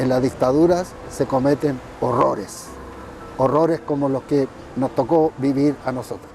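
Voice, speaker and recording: A fairly high male voice at a fairly slow pace, with fairly even intonation and music in the background. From northern Chile, Iquique. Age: 70s. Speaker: former political prisoner and politician. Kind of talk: interview testimony. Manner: halting, many fillers.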